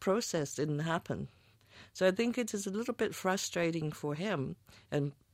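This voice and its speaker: Lively in intonation, a woman talks at a moderate pace. The sound is dry and close with no echo, in a very clean recording with a silent background. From Chinese-Canadian background. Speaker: film editor. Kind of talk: interview. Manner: halting.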